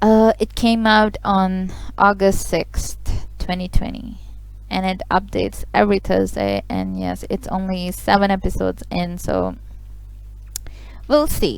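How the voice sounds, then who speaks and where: The woman has a non-native accent. She talks at a fairly slow pace. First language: not English. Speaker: webtoon reader and commentator. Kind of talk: reading aloud with commentary. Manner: casual, animated.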